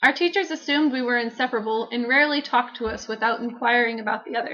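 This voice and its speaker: Talking at a very fast pace, a woman with a slight Texan accent has a high pitch, a bright, sharp tone and ordinary pitch variation. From Texas. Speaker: vlogger. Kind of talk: scripted narration.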